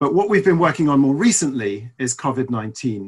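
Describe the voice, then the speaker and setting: Over a quiet background, a man talks at a fairly quick pace in a somewhat breathy voice. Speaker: webinar presenter, report author. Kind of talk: presentation talk. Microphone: video call.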